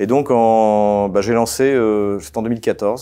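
A man speaks very slowly in a fairly low pitch, his tone dark and mellow and his intonation fairly even, against a quiet background. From France, Champagne; France. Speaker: political analyst. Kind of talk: interview. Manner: hesitant, many fillers. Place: studio. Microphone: lapel.

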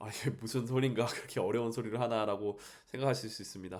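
Fairly quick male speech at medium pitch, its pitch varying in an ordinary way. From South Korea. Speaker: language teacher. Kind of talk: solo podcast monologue. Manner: formal; hesitant with many fillers.

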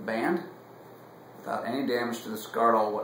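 The voice moves at a moderate pace amid audible room echo and light background noise. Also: man. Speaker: cigar reviewer. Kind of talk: casual review chat. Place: home room. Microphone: camera far.

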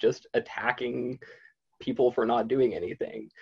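A man speaks at a medium pitch and a moderate pace, with fairly even intonation. His slightly mellow tone has vocal fry and a slightly husky edge.

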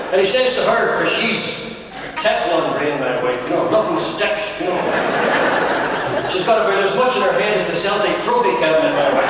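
Loud background noise sits behind a man speaking at a moderate pace. The room echo can be heard. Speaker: stand-up comedian. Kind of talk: stand-up comedy routine. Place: hall.

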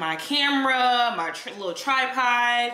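Audible room echo around a woman's voice, high in pitch. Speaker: fitness vlogger. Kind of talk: casual vlog chat. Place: home room.

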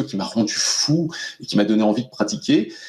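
With little noise behind him, a man speaks at a moderate pace. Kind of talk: interview answer. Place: home room. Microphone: video call.

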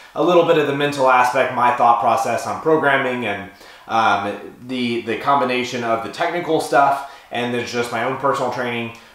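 A man with fairly even intonation at a fairly quick pace, amid audible room echo. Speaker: powerlifting coach. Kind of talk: casual vlog chat. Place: home room.

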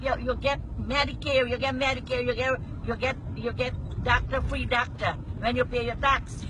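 A woman with a Guyanese accent, dry and echo-free, over noticeable background noise. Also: moderate pace. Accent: Guyanese Creole. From Guyana. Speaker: passenger talking to the driver. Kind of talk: casual conversation. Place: car. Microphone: phone near.

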